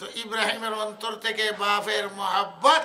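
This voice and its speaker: In a raised, projected voice, a man speaks at a high pitch. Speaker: Islamic scholar giving a sermon. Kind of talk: waz, religious sermon.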